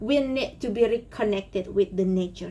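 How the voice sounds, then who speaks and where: A woman speaks in a somewhat breathy voice at a moderate pace, fairly high in pitch and lively in intonation. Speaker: rainforest conservation activist. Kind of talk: conference Q&A.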